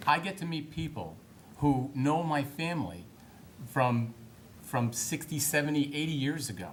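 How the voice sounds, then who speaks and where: A man with an American accent speaks in a somewhat breathy voice. Room echo can be heard around him. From Massachusetts. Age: 50s. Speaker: political candidate. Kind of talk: political debate. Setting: town hall debate.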